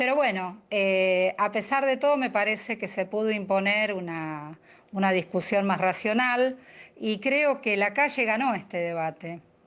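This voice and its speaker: Speaking at a fairly slow pace against a quiet background, a woman has a plain, everyday voice with medium pitch and ordinary pitch variation. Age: 60s. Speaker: activist. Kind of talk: radio interview.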